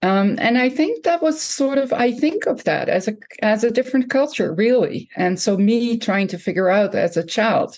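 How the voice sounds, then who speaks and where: In a Dutch accent, a woman speaks at a moderate pace with lively intonation over a quiet background. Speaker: professor and author. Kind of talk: interview conversation.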